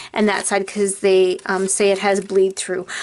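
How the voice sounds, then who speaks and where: A woman mumbles her words. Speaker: craft video creator. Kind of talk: tutorial. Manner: mumbling; casual and chatty.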